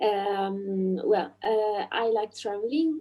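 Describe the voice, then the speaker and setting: A woman talks at a medium pitch with ordinary pitch variation. She has an Italian accent. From central Italy, Marche. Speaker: language teacher, ESL learner. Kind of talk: casual chat. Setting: video call. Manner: halting.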